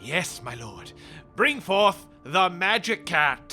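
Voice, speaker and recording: Putting on a high-pitched character voice, a man speaks very slowly over clear background music. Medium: audio drama. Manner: deferential.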